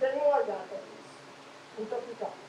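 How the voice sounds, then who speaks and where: A woman speaks at a high pitch with very wide pitch swings, and the room echo is audible. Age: 80s+. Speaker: resident, public servant. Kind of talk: personal testimony at community meeting.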